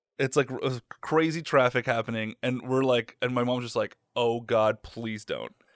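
A man speaks in a plain, everyday voice at a medium pitch with fairly even intonation. The recording is very clean and dry, close-miked with a silent background and no echo. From mid-Michigan, US. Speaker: podcast co-host. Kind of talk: casual chat.

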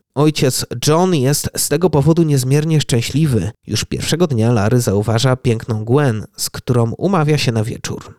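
The recording has a dry, close sound with no echo. A man talks at a moderate pace with a medium pitch and ordinary pitch variation. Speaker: podcast host. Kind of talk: scripted horror narration. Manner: hushed, suspenseful storytelling; measured, ominous, dramatic pacing.

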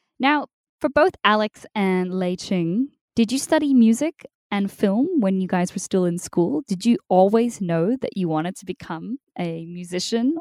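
With an Australian accent, a woman of medium pitch speaks at a fairly slow pace with lively intonation and big swings in loudness, in a dry, close sound with no echo. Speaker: podcast host. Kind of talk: interview. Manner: animated.

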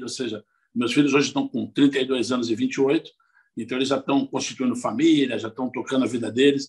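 Speaking at a fairly quick pace, a man uses monotone, flat intonation at a medium pitch. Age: 50s. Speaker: biology professor and former city environment secretary. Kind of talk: interview. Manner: halting with frequent repetitions.

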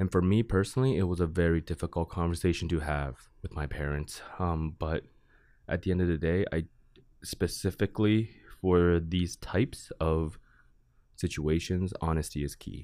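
Very clean and set against a silent background, the recording captures a man with a very deep, low pitch and fairly even intonation. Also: moderate pace. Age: 20s. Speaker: college student and student board chairman. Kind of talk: casual interview. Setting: studio.

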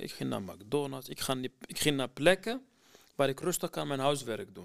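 A man of medium pitch speaks at a moderate pace, with a dry, close sound and no echo. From Iraqi Kurdistan, near Mosul. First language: Kurdish (speaking Dutch). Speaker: former refugee student. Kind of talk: personal testimony. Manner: halting, many hesitations.

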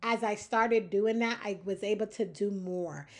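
With a normal speaking voice, a woman speaks at a fairly slow pace, her pitch medium and its variation ordinary. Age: 40s. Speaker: podcast host. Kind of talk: casual monologue.

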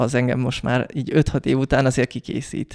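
The man's intonation is monotone and flat, and his pitch is medium. The sound is dry and close, with no echo. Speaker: podcast host. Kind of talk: casual chat.

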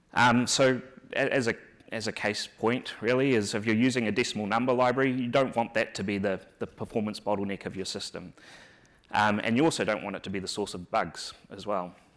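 Man with a New Zealand accent, medium pitch, fairly even intonation, fairly quick pace. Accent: New Zealand, noticeable. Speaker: software engineer and conference speaker. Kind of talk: conference tech talk. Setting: conference stage with audience. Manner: halting, many filler words and repeats.

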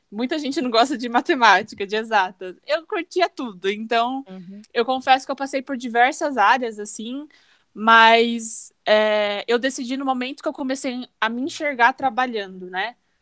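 On a very clean recording with a silent background and a dry, close sound with no echo, a woman speaks in a high pitch at a moderate pace with hardly any pauses, ordinary pitch variation and big swings in loudness. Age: 20s. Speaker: chemical engineering student. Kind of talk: casual chat.

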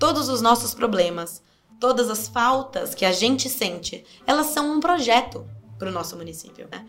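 Over music in the background, a woman with a fairly high voice speaks at a moderate pace, her pitch swinging very widely and her loudness swinging a lot. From Brazil, Sorocaba (São Paulo state). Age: 20s. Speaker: political candidate. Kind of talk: interview.

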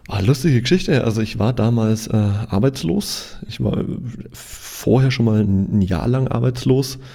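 At a fairly slow pace, a man speaks with a medium pitch and ordinary pitch variation. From Franconia, Germany (Nuremberg). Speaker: photographer and photography trainer. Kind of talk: casual interview. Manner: halting with frequent word repetitions.

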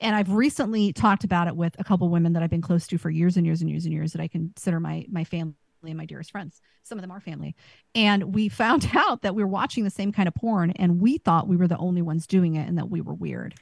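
A woman's somewhat breathy voice, fairly low in pitch and very fast, with ordinary pitch variation, big swings in loudness, and a dry, close, very clean recording with a silent background. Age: 40s. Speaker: podcast co-host. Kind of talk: casual chat.

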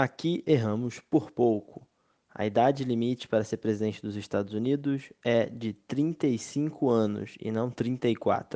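At a very slow pace, a man speaks in a dark, mellow tone of medium pitch with ordinary pitch variation, the sound dry and close with no echo. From Brazil, Rio de Janeiro. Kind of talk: casual chat.

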